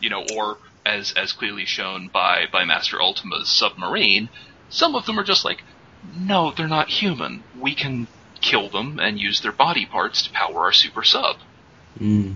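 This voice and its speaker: A man at medium pitch speaks at a moderate pace with very wide pitch swings, over noticeable background noise. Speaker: podcast co-host. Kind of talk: casual chat.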